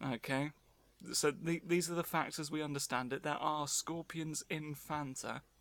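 On a very clean recording with a silent background, a man with a fairly high pitch and an unremarkable speaking voice talks at a moderate pace with fairly even intonation. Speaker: podcast host. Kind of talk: casual chat.

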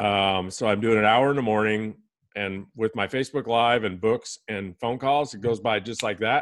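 A man talks in a normal speaking voice at a fairly low pitch. His pace is moderate and his intonation fairly even. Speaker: podcast guest host. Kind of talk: casual interview chat.

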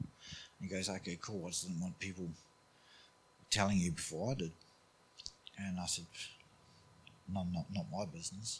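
With a New Zealand accent, a man speaks at a moderate pace in a very deep, low, somewhat breathy voice. He takes long, frequent pauses. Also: fairly even intonation. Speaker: church member sharing testimony. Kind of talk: testimony.

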